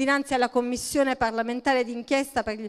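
A woman's high-pitched voice stands out against a quiet background. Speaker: candidate. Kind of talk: rally speech. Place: street.

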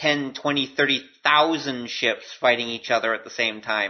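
Using an ordinary speaking voice, a man talks at a moderate pace. His intonation is fairly even. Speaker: podcast host. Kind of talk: casual podcast talk.

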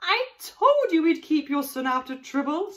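High pitch and a moderate pace in a put-on character voice. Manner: squawking.

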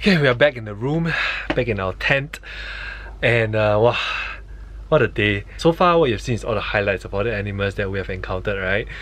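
A man speaks fairly quickly while light background noise is heard. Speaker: travel vlogger. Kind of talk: casual vlog chat. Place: tent. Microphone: phone near.

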